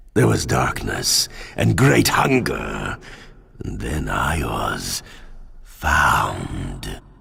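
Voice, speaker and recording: A growling put-on character voice, very slow, with long, frequent pauses. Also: man, very deep, low pitch for a man. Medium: video game. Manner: grandiose, unhinged.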